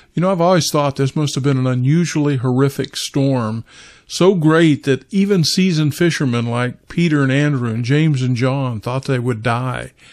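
At a moderate pace, a man with an American accent speaks in a plain, everyday voice, fairly high in pitch with ordinary pitch variation, on a very clean recording with a silent background. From Kansas, US Midwest. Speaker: pastor. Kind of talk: devotional talk.

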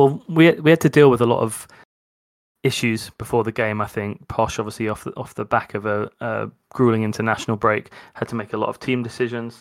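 A man with an unremarkable speaking voice talks at a fairly quick pace, at a medium pitch and with fairly even intonation, in a very clean recording with a silent background. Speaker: podcast co-host. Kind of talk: casual football podcast chat.

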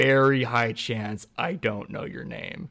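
On a very clean recording with a silent background, a man with an unremarkable speaking voice talks at a fairly slow pace, at a medium pitch with ordinary pitch variation. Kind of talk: casual chat.

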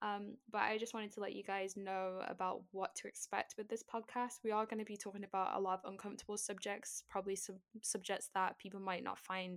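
An ordinary speaking voice from a woman at medium pitch, at a fairly quick pace. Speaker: podcast host and streamer. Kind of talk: podcast trailer, casual monologue. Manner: casual, chatty, filler words.

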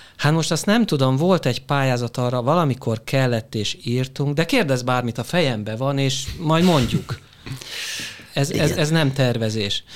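A man's medium-pitched, plain, everyday voice with ordinary pitch variation at a moderate pace. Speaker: business consultant. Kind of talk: panel discussion.

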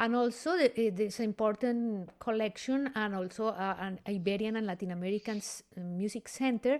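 On a very clean recording with a silent background, a woman uses an ordinary speaking voice at a fairly high pitch, talking at a fairly quick pace with hardly any pauses and ordinary pitch variation. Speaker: podcast host and classical singer. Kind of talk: interview conversation.

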